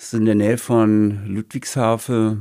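A man speaks very slowly in a fairly low pitch with a dark, mellow tone. The recording is very clean, with a silent background. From Heilbronn area, Baden-Württemberg. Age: 60s. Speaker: retired author and former bouncer. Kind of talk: casual interview.

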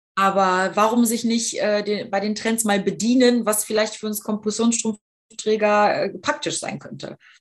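Speaking at a fairly slow pace, a woman uses a fairly high pitch in a normal speaking voice. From Düsseldorf, western Germany. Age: 30s. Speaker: fashion blogger and patient ambassador. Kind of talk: casual interview chat.

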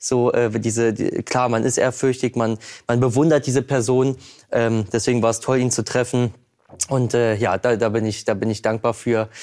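Captured in a very clean recording with a silent background, a man at a medium pitch speaks at a moderate pace with very even loudness and a monotone, flat intonation. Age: 20s. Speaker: painter. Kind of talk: talk show interview.

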